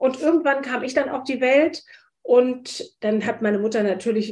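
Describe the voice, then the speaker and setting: A woman's fairly high voice moves at a moderate pace, her intonation fairly even. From Hesse, Wiesbaden. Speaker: spice shop owner and entrepreneur. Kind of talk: interview. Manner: hesitant, many fillers.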